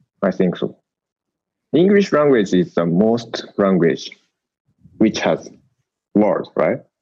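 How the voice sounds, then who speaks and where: Very slow pace in a Japanese accent, with long, frequent pauses and lively intonation. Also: man, fairly low pitch for a man. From Japan, Tokyo area. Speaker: Japanese expat living in the US. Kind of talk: casual conversation. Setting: video call. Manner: halting.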